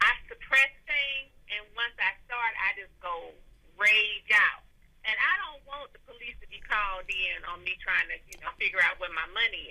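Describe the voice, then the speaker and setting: The loudness swings widely. The pace is moderate. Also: woman. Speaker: caller seeking advice. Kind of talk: casual advice chat. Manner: soft-spoken.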